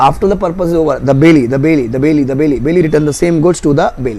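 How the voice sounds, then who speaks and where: A man with an Indian accent, fairly high in pitch, amid audible room echo and noticeable background noise. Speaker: law teacher. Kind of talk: exam revision lecture. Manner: fast.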